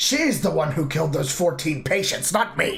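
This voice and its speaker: A man's raspy put-on character voice, lively in intonation at a moderate pace, over music in the background. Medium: game stream. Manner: pompous, complaining.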